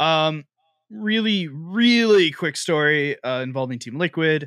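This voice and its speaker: In a plain, everyday voice, a man speaks at a fairly high pitch and a fairly slow pace with lively intonation, recorded very clean with a silent background and a dry, close sound with no echo. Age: 20s. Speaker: esports podcast host. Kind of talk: casual chat.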